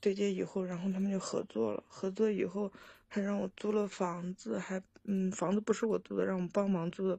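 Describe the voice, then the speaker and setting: A woman speaks fairly quickly with a dark, mellow tone and medium pitch. Her voice is somewhat breathy and her intonation fairly even. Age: 30s. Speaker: caller. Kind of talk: phone-in advice call. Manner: halting.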